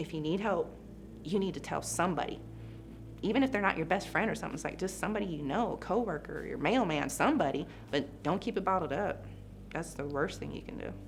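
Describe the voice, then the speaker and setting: A woman's fairly low-pitched voice at a very fast pace, with lively intonation, audible room echo and music in the background. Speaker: police officer. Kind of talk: testimony. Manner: halting.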